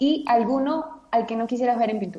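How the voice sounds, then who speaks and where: A woman speaks at a fairly slow pace. Her pitch is high, with ordinary pitch variation. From Venezuela (Caracas). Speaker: radio co-host. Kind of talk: casual interview chat.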